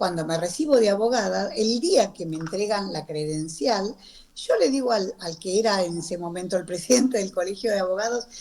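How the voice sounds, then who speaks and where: A woman with an ordinary speaking voice and a medium pitch talks at a moderate pace with lively intonation. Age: 60s. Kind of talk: radio interview.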